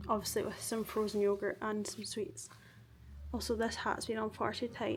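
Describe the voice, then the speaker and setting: A woman in a Glaswegian accent talks at a moderate pace. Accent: Glaswegian Scottish. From Scotland, Glasgow. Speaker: vlogger. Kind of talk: casual vlog talk to camera. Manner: chatty, filler-heavy.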